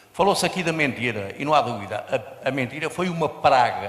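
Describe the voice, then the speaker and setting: A man speaks over noticeable background noise. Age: 70s. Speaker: audience member. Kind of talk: audience comment.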